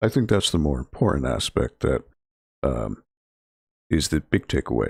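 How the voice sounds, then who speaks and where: In a very clean recording with a silent background and a dry, close sound with no echo, a man speaks in a relaxed tone at a moderate pace, with vocal fry and very wide pitch swings. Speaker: library video game club streamer. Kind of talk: casual gaming livestream chat. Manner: low-energy, relaxed.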